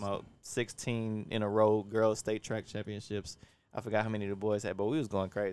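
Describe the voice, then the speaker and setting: Someone with an American accent speaks at a fairly quick pace in a flat monotone. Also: man, fairly low pitch for a man, very clean recording, silent background. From Louisiana, Baton Rouge. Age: young. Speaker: podcast co-host, entrepreneur. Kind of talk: casual chat. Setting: outdoors.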